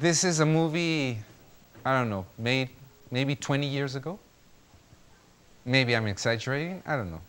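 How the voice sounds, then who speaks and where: A man with a Spanish accent speaks with long, frequent pauses. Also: medium pitch for a man, moderate pace. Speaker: lecturer / teacher. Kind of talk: classroom lecture. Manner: halting, with many fillers.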